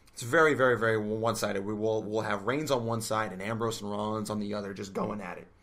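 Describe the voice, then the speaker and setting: A man at a fairly low pitch and fairly quick pace, with audible room echo. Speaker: wrestling podcast co-host. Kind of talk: casual podcast discussion. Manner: animated.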